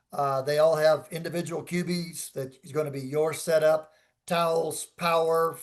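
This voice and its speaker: A man talks with a fairly high pitch. The background is quiet. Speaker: dive resort representative. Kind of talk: seminar Q&A. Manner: loud.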